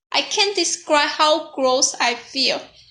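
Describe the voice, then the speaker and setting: A woman's high-pitched, raised and projected voice with a non-native accent, a bright, sharp tone and ordinary pitch variation. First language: not English. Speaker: youtuber. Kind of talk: personal storytelling monologue.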